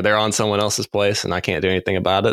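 A man with an American accent speaks very fast in a fairly low voice, the sound dry and close with no echo. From North Carolina. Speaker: deer biologist. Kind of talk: casual interview.

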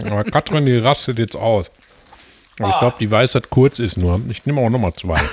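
A man's medium-pitched voice with noticeable background noise. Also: ordinary pitch variation, moderate pace, dry, close sound with no echo. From Ruhr area, Gelsenkirchen. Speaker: podcast co-host. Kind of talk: casual chat. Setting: home living room, portable podcast setup.

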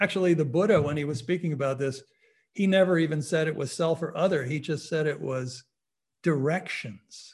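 A man with an ordinary speaking voice talks at a fairly quick pace, his pitch fairly high and his pitch variation ordinary. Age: 60s. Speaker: psychologist and meditation teacher. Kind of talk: lecture. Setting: online webinar.

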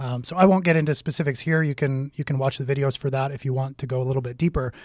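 On a very clean recording with a silent background, a man speaks at a fairly quick pace, somewhat breathy, with fairly even intonation. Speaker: deacon and podcast host. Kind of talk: casual religious discussion.

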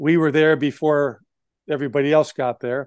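A plain, everyday voice with an American accent at a fairly quick pace, dry and close with no echo, over a quiet background. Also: man. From Wisconsin. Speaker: former sports executive and lawyer. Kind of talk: interview.

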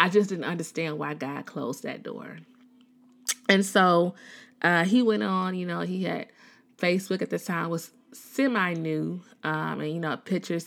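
A woman with an American accent speaks at a fairly low pitch in an animated tone and at a moderate pace. The recording is very clean, with a silent background. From Chicago. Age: 30s. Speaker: podcast host. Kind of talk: casual personal reflection.

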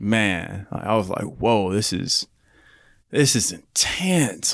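On a very clean recording with a silent background, a man at medium pitch speaks with an Oklahoma accent and very wide pitch swings. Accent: Oklahoma, US South. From Oklahoma City, Oklahoma. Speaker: podcast producer and studio owner. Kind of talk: casual chat.

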